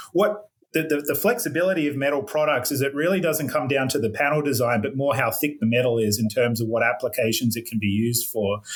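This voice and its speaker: With an Australian accent, the speaker rushes along at a very fast pace with hardly any pauses, lively intonation and very even loudness. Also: man, fairly high pitch for a man. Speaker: metal roofing company representative. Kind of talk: podcast interview.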